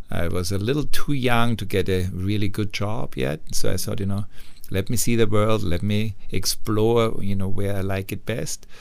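A man speaks with an Austrian accent. His pitch sits fairly low and varies in an ordinary way. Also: moderate pace. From Austria, Upper Austria. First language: German. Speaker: hotel managing director. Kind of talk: interview.

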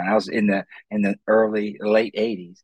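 A man with an American accent speaks at a moderate pace in a fairly low pitch, in a plain, everyday voice, with a dry, close sound and no echo. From Ohio, US Midwest. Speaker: motivational speaker and career counselor. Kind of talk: interview.

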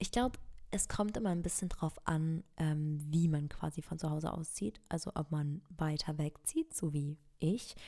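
Over a very clean recording with a silent background, a dark, mellow tone unfolds at a fairly slow pace with ordinary pitch variation. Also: woman, very deep, low pitch for a woman. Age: 20s. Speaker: lifestyle podcaster and content creator. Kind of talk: casual solo chat. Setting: home recording in a new apartment. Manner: casual, with frequent fillers.

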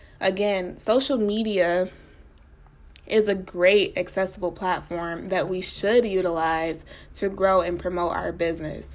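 In an ordinary speaking voice, a woman talks fairly slowly at a medium pitch with fairly even intonation. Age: 20s. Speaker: podcast host. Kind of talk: casual solo podcast monologue.

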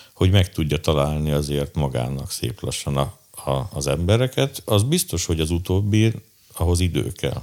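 Lively intonation marks this man's very deep, low voice as he speaks at a moderate pace. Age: 50s. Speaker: drummer and drum teacher. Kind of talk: interview.

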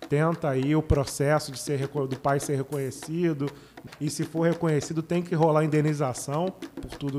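A man's fairly high-pitched, monotone, flat delivery at a moderate pace over noticeable background noise. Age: 30s. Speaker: podcast co-host. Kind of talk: casual chat.

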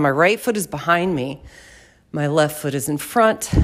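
Moderate pace with noticeable background noise. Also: woman. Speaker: movement facilitator and podcast host. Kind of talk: improvised guided movement narration. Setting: room in her house. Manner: informal, with audible breathing.

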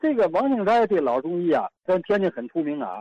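The sound is dry and close with no echo. A man talks at a moderate pace with very wide pitch swings. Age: 70s. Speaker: retired doctor. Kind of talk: casual reminiscence.

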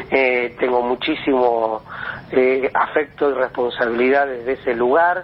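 A man with a medium pitch speaks at a fairly slow pace. His intonation is fairly even, and background noise is noticeable. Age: 40s. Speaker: artist and teacher. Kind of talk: interview.

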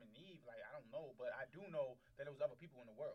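The tone is animated. The pace is very fast. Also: man. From Baltimore, Maryland. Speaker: podcast host. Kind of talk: casual chat.

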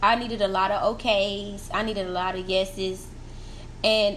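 A woman at medium pitch speaks in a monotone, flat way at a moderate pace, with audible room echo and noticeable background noise. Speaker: podcast host. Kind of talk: casual monologue.

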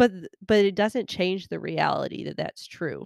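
Here a woman speaks at a moderate pace. The recording is very clean and silent behind her, with a dry, close sound and no echo. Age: 30s. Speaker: podcast host and elementary teacher. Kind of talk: solo monologue podcast. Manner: conversational with frequent filler words.

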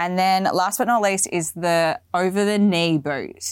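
A woman talks with an Australian accent at a fairly low pitch. Her pace is fairly slow. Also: very clean recording, silent background. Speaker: fashion video podcaster. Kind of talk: casual video podcast talk about boots. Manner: chatty, animated.

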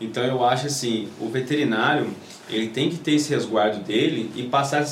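Amid noticeable background noise and audible room echo, a man speaks at a fairly quick pace with ordinary pitch variation. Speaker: dog trainer. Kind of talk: casual chat.

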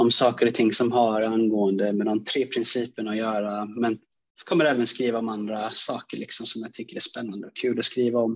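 Monotone, flat intonation carries the words along at a moderate pace. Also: man. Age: 20s. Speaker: aspiring coach and speaker, podcast listener. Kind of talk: personal testimony.

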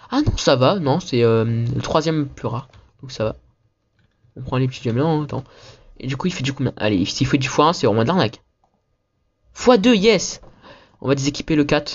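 With a somewhat breathy, fairly high voice, a man talks at a moderate pace with lively intonation and long, frequent pauses. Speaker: gaming youtuber. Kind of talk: gameplay commentary. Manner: casual, hesitant with many fillers.

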